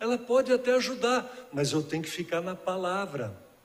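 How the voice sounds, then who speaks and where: A high-pitched man's voice at a moderate pace, lively in intonation, over noticeable background noise. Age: 60s. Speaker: guest preacher. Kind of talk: sermon. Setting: church.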